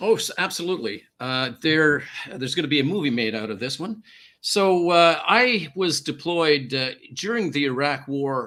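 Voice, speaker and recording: On a very clean recording with a silent background, a man with a slight Canadian accent speaks at a moderate pace, his fairly high voice bright and sharp in tone with lively intonation. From Canada. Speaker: former peacekeeper and hostage negotiator. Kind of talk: radio interview, personal story.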